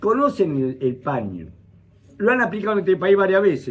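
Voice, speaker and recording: The speaker has an Argentine accent and lively intonation. The pace is moderate. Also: man. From Argentina (interior province). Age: 70s. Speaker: university professor, economist. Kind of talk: talk to audience at breakfast. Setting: breakfast talk with audience. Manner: animated.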